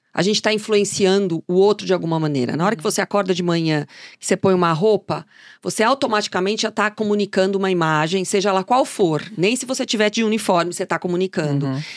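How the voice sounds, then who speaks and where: A woman talks at a very fast pace with ordinary pitch variation. The sound is dry and close with no echo, on a very clean recording with a silent background. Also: medium pitch for a woman. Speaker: fashion journalist and consultant. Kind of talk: interview.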